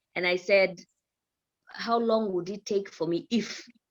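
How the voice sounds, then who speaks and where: A woman speaks fairly slowly, her medium pitch showing ordinary pitch variation. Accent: East African. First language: Swahili. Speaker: news presenter. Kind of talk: podcast interview.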